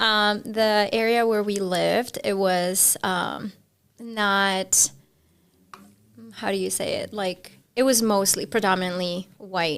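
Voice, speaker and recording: A woman speaks in a Spanish accent at a very slow pace. The recording is very clean, with a silent background. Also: medium pitch for a woman, fairly even intonation. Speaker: podcast guest. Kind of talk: casual chat.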